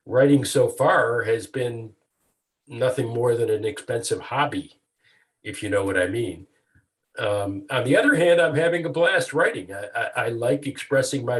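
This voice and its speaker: A man's somewhat breathy voice at medium pitch, with lively intonation and a moderate pace, on a very clean recording with a silent background. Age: 70s. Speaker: retired lawyer turned author. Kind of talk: interview. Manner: halting, many fillers and repeats.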